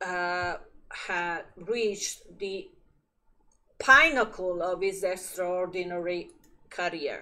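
A woman with an Italian accent, bright and sharp in tone, with fairly even intonation. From Italy. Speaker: magazine editor and video presenter. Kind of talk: art exhibition review to camera. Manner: halting, many fillers.

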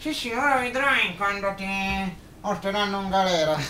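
A man's cartoonish character voice, high-pitched, at a moderate pace, with clear background noise. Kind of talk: comic ventriloquist banter. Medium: puppet show. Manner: angry, vulgar, complaining.

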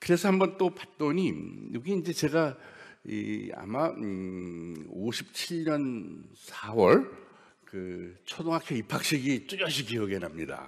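At a very slow pace, a man speaks at a medium pitch with very wide pitch swings. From South Korea, Daejeon; South Korea. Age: 70s. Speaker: scientist giving a lecture; invited guest lecturer. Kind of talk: lecture. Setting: stage with audience. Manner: halting. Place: hall.

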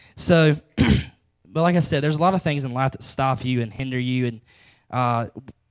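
In a quiet background, a man's medium-pitched voice moves at a moderate pace, its pitch varying in an ordinary way. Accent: Southern US. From US South. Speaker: preacher. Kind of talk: sermon. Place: church. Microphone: handheld.

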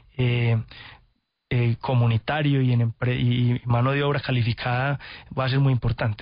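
Somewhat breathy, a man talks at medium pitch with monotone, flat intonation. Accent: Antioquian Colombian. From Antioquia, Colombia. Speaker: sustainability company executive. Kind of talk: radio interview. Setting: radio studio.

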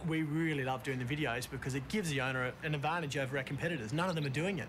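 With noticeable background noise, a man talks at a very fast pace in a fairly high pitch with ordinary pitch variation. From Australia. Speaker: real estate agent and auctioneer. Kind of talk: casual talk to camera, documentary interview. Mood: upbeat, confident.

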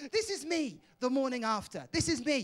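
Speaking at a moderate pace, a man talks with a Welsh accent. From Wales. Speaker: stand-up comedian. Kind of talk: stand-up. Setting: stage with audience. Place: stage. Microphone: handheld.

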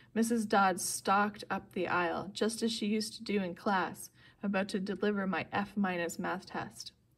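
Fairly even intonation in plain reading aloud

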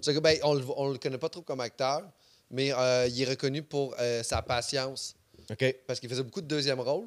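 Fairly even intonation at a moderate pace, over a quiet background. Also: man. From Quebec, Saint-Basile. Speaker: podcast host, comedian. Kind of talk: casual chat. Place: studio. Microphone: studio mic.

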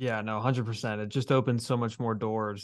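A man is speaking. The background is quiet. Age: 20s. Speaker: podcast host and baseball reporter; podcast host, baseball reporter. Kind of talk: casual interview. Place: home room.

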